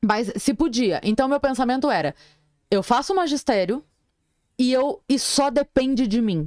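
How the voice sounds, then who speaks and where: Recorded very cleanly against a silent background, a woman speaks at a high pitch with lively intonation, very even loudness and long, frequent pauses, the sound dry and close with no echo. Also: moderate pace. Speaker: comedian. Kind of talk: casual chat.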